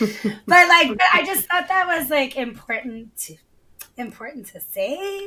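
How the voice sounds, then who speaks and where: A woman's high-pitched voice is raised and projected, with an animated tone. Her pitch swings very widely and her loudness rises and falls sharply. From Hawaii. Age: 40s. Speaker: artist and DJ. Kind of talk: casual podcast chat.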